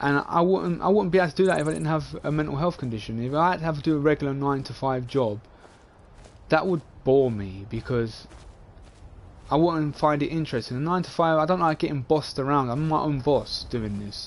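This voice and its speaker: A man talks at a fairly quick pace with a London accent. His pitch is fairly high, with ordinary variation. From England, London (Dagenham). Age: 20s. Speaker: gaming streamer. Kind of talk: casual live-stream monologue. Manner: rambling, repetitive.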